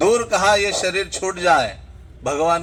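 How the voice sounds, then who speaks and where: A man speaks with ordinary pitch variation. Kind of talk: religious discourse. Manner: loud.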